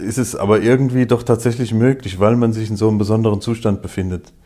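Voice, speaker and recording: The pace is fairly quick and the intonation fairly even. The tone is dark and mellow. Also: man. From Hesse, Germany (Groß-Bieberau near Darmstadt). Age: 50s. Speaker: imam. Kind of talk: interview.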